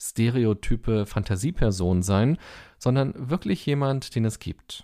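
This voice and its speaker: The dark, mellow tone carries lively intonation on a very clean recording with a silent background. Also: man. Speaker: podcast host and meditation teacher. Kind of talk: guided meditation, calm instructions. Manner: slow, soft-spoken, soothing.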